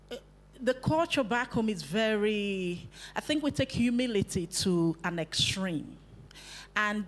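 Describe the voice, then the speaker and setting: Speaking very slowly in a Nigerian accent, a woman at a medium pitch uses lively intonation. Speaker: youth workshop facilitator. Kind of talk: workshop talk to youth group.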